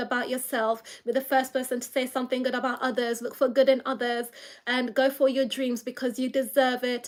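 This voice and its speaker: High pitch in a woman's voice. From London, England. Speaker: YouTuber, blind mum vlogger. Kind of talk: casual livestream chat. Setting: live stream. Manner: chatty, hesitant with fillers.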